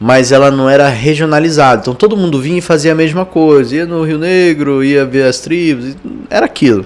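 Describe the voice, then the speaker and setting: Through noticeable background noise, a man talks at a fairly quick pace with an Amazonian Brazilian accent. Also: fairly high pitch for a man, ordinary pitch variation. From Amazonas, Brazil. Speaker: tech entrepreneur and investor. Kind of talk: podcast interview.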